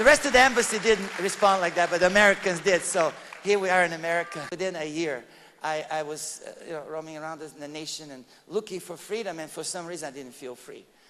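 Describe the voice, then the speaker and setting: A man with a Bulgarian accent talks at a very fast pace, his high pitch showing ordinary variation. His loudness swings widely, and noticeable background noise sits behind him. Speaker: evangelist giving testimony. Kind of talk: testimony. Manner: halting, with many repetitions.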